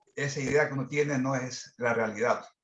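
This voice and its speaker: A plain, everyday voice with ordinary pitch variation, moving at a moderate pace. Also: man. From Ecuador. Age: 60s. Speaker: business management consultant. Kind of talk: participant in online masterclass discussion.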